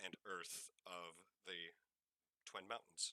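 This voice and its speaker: A raspy put-on character voice, dry and close with no echo. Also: man. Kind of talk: tabletop game narration. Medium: actual play.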